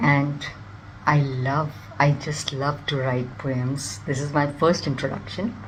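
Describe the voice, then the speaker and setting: Fairly slow pace and fairly even intonation, with audible room echo and noticeable background noise. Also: woman. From India. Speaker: nutritionist and amateur poet. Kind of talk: self-introduction.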